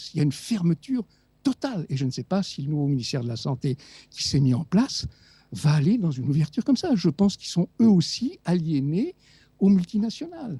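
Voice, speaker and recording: Dark, mellow tone with very wide pitch swings at a fairly quick pace, dry and close with no echo. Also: man, high pitch for a man. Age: 70s. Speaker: doctor and author. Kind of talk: radio interview. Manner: animated.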